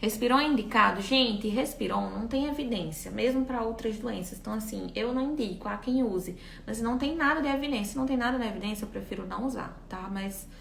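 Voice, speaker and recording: Talking at a fairly quick pace with hardly any pauses, a woman with a fairly high pitch and ordinary pitch variation is heard through audible room echo and noticeable background noise. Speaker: physiotherapy lecturer. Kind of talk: live-stream lecture with Q&A. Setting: live stream. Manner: fast.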